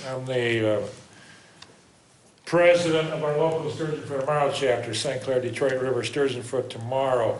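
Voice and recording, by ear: Strong room echo surrounds a man talking at a medium pitch and a moderate pace with ordinary pitch variation.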